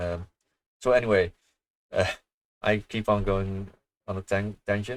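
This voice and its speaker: Soft-spoken and fairly low in pitch, a man talks with fairly even intonation and long, frequent pauses. The recording is very clean, with a silent background. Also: fairly slow pace. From Netherlands. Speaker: gaming streamer. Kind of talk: casual chat. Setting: livestream. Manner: halting.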